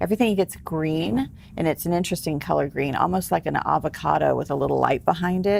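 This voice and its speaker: This woman's pitch is very deep and low. She keeps a moderate pace with ordinary pitch variation. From Texas, San Antonio. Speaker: celebrity hypnotherapist and author. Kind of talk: interview. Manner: casual.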